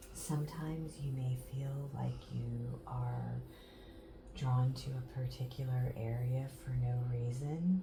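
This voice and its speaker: A woman's very slow speech, with audible room echo and noticeable background noise. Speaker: massage therapy instructor. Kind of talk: tutorial demonstration. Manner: soft-spoken; slow, calm.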